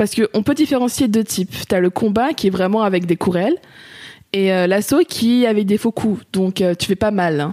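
In an ordinary speaking voice, a woman talks at a moderate pace with medium pitch and lively intonation. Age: 20s. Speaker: amateur kickboxer. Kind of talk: casual interview.

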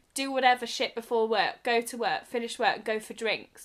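A woman with a high pitch speaks in an English accent, her tone bright and sharp. The recording is very clean, with a silent background. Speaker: podcast co-host. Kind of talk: casual chat.

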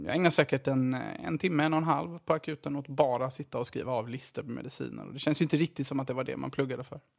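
At a very fast pace, a man with a medium-pitched voice and vocal fry speaks with ordinary pitch variation, the sound dry and close with no echo in a very clean recording with a silent background. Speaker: junior doctor and podcast editor. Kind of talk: casual chat.

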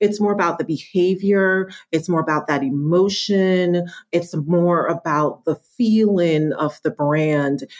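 A woman with an unremarkable speaking voice talks fairly slowly at a fairly low pitch, with very even loudness and ordinary pitch variation. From New York, born in Jamaica. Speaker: marketing executive. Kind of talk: interview.

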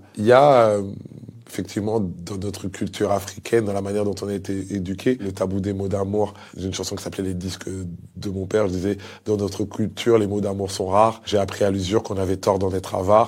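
On a very clean recording with a silent background, a man with a fairly low pitch talks fairly quickly in a monotone, flat delivery. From DR Congo (Kinshasa), moved to France around age 10. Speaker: guest telling a life story. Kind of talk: personal testimony.

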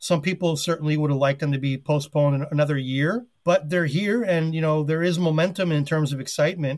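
An ordinary speaking voice from a man with an American accent, fairly quick in pace with ordinary pitch variation. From US, New York City. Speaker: sports editor. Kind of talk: interview.

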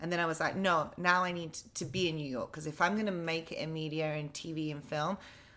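A very fast delivery in an English accent, bright and sharp in tone, with ordinary pitch variation. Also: woman. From England. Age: 30s. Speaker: on-camera presenter. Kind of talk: casual chat.

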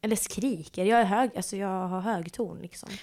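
A woman with an unremarkable speaking voice talks at a medium pitch and a moderate pace. The recording is very clean, with a silent background. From Malmö, Sweden. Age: 20s. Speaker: podcast host. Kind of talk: casual chat.

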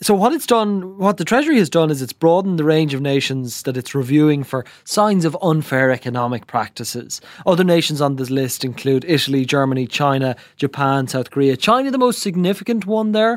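With hardly any pauses, a man talks at a fairly quick pace. His pitch is fairly high and his intonation lively. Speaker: business journalist. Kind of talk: news discussion. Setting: studio. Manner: quiet.

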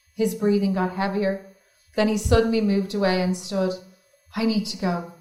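In a natural voice, with fairly even intonation, a passage is read aloud.

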